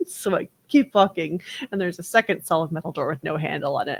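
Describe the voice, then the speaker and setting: Speaking very fast, a woman with an American accent uses a fairly low pitch with ordinary variation. The sound is dry and close, with no echo. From North Texas (Dallas). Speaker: podcast co-host. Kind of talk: casual chat, storytelling.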